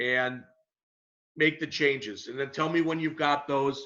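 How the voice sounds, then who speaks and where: The man's voice is loud and fairly high in pitch. Its tone is bright and sharp. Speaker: college instructor. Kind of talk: online lecture.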